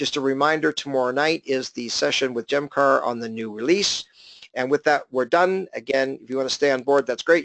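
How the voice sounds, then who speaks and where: At a very fast pace, a man talks at a medium pitch with ordinary pitch variation, the sound dry and close with no echo. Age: 50s. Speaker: business coach. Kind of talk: webinar presentation.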